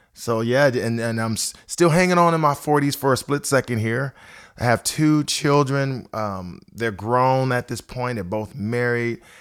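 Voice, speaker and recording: A man with an American accent speaks in an unremarkable speaking voice at medium pitch and a moderate pace, with ordinary pitch variation. The recording is very clean, with a silent background. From Ohio, US Midwest. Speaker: worship pastor. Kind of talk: casual interview. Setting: studio.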